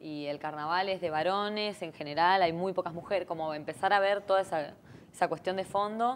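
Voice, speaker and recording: The intonation stays fairly even. The pace is fairly quick over light background noise. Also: woman, medium pitch for a woman. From Argentina, Buenos Aires. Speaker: singer; interview guest. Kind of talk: interview. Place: studio.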